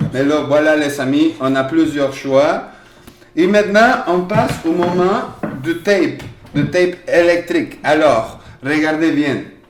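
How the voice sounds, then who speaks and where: Over noticeable background noise with audible room echo, a man with a fairly high voice talks very slowly, his pitch varying in an ordinary way. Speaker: workshop leader and primary school teacher. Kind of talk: children's craft workshop demonstration.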